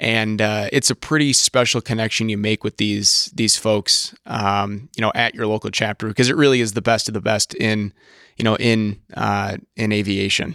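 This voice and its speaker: With an American accent, a man with a fairly low pitch and a bright, sharp tone talks at a moderate pace in fairly even intonation, leaving hardly any pauses. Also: dry, close sound with no echo, very clean recording, silent background. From Wisconsin/northern Illinois, US Midwest. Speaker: youth aviation program manager. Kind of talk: casual chat.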